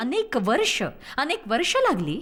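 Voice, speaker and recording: A woman's voice with very wide pitch swings. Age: 60s. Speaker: preacher. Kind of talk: sermon.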